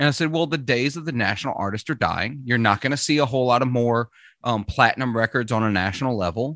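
With a slight Southern US accent, the voice has a bright, sharp tone in a dry, close sound with no echo against a quiet background. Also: man. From Mississippi, US South. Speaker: podcast host. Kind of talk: casual chat.

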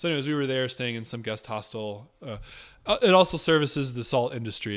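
A man talks in an ordinary speaking voice at a fairly quick pace with ordinary pitch variation, on a very clean recording with a silent background. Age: 30s. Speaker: tiny house builder and traveler. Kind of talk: casual interview.

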